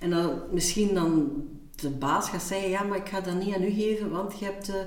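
A woman with a medium pitch and ordinary pitch variation speaks at a moderate pace, with noticeable background noise and audible room echo. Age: 40s. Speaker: podcast co-host. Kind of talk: casual chat.

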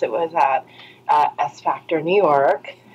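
Background noise is noticeable throughout. A woman's voice comes through it. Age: 30s. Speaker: pole dance teacher and blogger. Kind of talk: casual interview chat.

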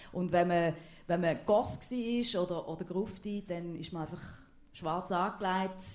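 Amid audible room echo, a woman with an eastern Swiss accent speaks at a medium pitch and a fairly slow pace with fairly even intonation. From eastern Switzerland, Thurgau. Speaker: TV presenter. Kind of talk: casual stage interview.

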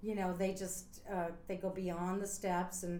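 A woman speaks with an American accent at a medium pitch. Noticeable background noise is present. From US Northeast, near Scranton, Pennsylvania. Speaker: retired Broadway dancer. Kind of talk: interview.

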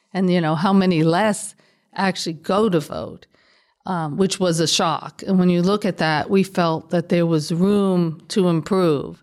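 With an American accent and an unremarkable speaking voice, a woman speaks at a fairly slow pace, her pitch fairly low and her intonation fairly even. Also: very clean recording, silent background. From New York, South Bronx. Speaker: state legislator. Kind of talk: interview.

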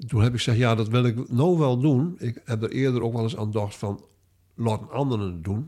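A man with a dark, mellow tone and medium pitch talks at a fairly quick pace with lively intonation, recorded very cleanly against a silent background. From Stellingwerf, Friesland, Netherlands. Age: 70s. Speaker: author and retired linguistics lecturer. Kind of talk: interview conversation. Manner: halting, many hesitations.

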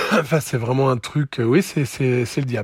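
Medium-pitched and somewhat breathy, a man's voice with ordinary pitch variation, delivered at a moderate pace. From France, Lozère. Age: 40s. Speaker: former raver. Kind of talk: testimony. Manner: halting.

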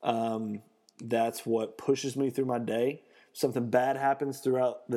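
A man's dark, mellow tone at a fairly slow pace, monotone and flat in intonation. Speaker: fitness podcast host. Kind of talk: motivational pep talk to listeners, hype fitness podcast monologue. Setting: home podcast recording, solo. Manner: amped-up, high-energy, hyping listeners with exclamatory bursts and loud hand smacks; earnest and rambling, with frequent fillers and self-corrections.

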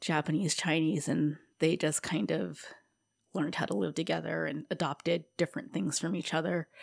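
A woman with a very deep, low pitch and vocal fry speaks at a moderate pace with lively intonation. The recording is very clean, with a silent background. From Hawaii (Honolulu). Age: 30s. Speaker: guest sharing recovery story. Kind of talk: testimony. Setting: studio.

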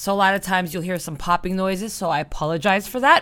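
Loud and animated, a woman talks at a very fast pace with a medium pitch and a bright, sharp tone. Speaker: music podcast host and magazine editor. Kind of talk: casual monologue between music tracks. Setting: home studio microphone recording.

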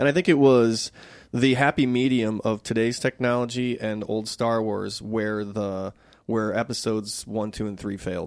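In a very clean recording with a silent background, a man with an unremarkable speaking voice and medium pitch talks at a moderate pace with fairly even intonation. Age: 40s. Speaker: film director. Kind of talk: casual chat.

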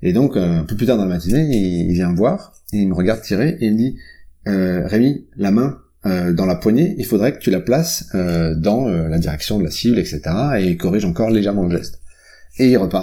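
Lively in intonation, a man speaks at a moderate pace in a fairly low voice with a dark, mellow tone. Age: 40s. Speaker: product executive and author. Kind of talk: interview. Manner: hesitant, many fillers.

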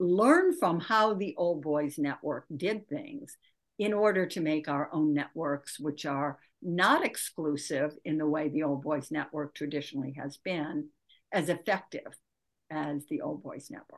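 Her pitch is very deep and low, and she has a Midwestern American accent. The woman is heard against a quiet background. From US Midwest, Michigan. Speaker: author and leadership coach. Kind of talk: interview.

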